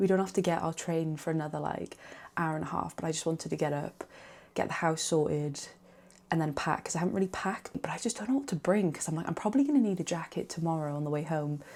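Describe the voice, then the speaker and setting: Quiet and fairly low-pitched, a woman with a Welsh accent speaks at a very fast pace with ordinary pitch variation. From Wales. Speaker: vlogger. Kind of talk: vlog chat to camera.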